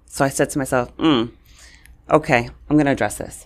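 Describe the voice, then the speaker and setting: A woman speaks with a New York accent. Her pace is fairly quick. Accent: New York City. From New York City (Brooklyn and Queens), Puerto Rican family. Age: 40s. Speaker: communications coach. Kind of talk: interview.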